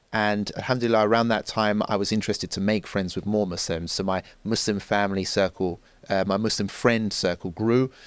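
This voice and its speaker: A man's fairly quick, monotone delivery with flat intonation and fairly low pitch, on a very clean recording with a silent background. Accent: London. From North London, England (Enfield). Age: 30s. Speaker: journalist and social commentator. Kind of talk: podcast interview.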